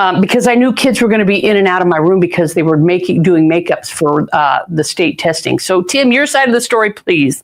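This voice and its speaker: Animated and at a fairly quick pace, a woman at medium pitch talks with lively intonation, very even loudness and hardly any pauses. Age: 60s. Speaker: podcast host, teacher. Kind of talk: casual interview.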